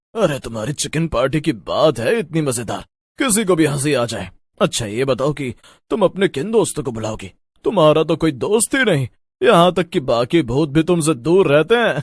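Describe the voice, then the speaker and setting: Using a put-on character voice, a man pitches himself fairly high. The background is silent and the recording very clean. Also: moderate pace. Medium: read story. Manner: teasing, laughing.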